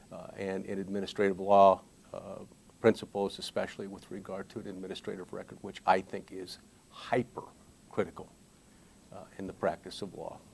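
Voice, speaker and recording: A man speaks at a moderate pace with monotone, flat intonation but big swings in loudness. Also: fairly low pitch for a man. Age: 60s. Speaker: lawyer. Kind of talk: interview. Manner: halting, many fillers and repetitions.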